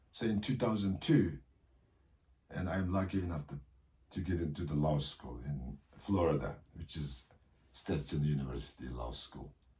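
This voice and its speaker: A man speaks with a Xinjiang accent. His pace is moderate and his pitch variation ordinary. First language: Uyghur. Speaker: political leader. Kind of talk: interview. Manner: halting.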